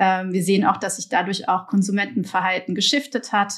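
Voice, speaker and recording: A woman speaks at a medium pitch. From Belgium, partly raised in Germany. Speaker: marketing executive. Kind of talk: podcast interview. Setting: remote recording. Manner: hesitant, many fillers.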